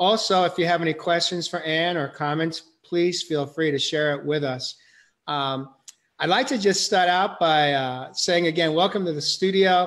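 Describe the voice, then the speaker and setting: Fairly even intonation from a man at a moderate pace, over a quiet background. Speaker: show host. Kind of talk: interview host introduction. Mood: warm, gentle. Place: home room. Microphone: video call.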